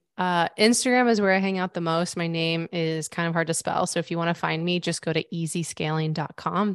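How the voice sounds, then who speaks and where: With an American accent and a plain, everyday voice, a woman speaks at a fairly low pitch and a fairly quick pace, her intonation fairly even and the sound dry and close with no echo. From US Midwest (Missouri). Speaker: business consultant. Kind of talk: interview.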